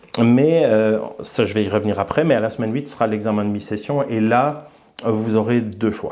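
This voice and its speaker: Audible room echo surrounds a man talking at a moderate pace and medium pitch with ordinary pitch variation. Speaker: college professor. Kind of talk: recorded course introduction lecture. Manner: hesitant, many fillers and repetitions.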